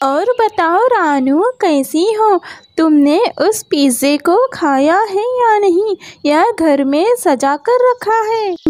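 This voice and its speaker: A cartoonish character voice speaks at an extremely high pitch for a woman. The female-sounding voice moves at a very slow pace. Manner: haughty, mocking, condescending.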